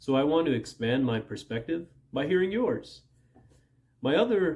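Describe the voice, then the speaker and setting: This man speaks at a moderate pace with lively intonation. His voice is somewhat breathy. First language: Punjabi. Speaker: language learning youtuber. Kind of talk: direct-to-camera vlog. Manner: casual, conversational.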